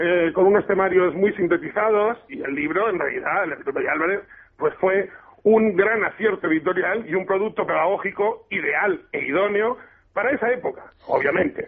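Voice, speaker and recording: A man talks in a high voice while noticeable background noise carries on around him. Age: 40s. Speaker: teacher and antiquarian bookseller. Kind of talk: radio interview.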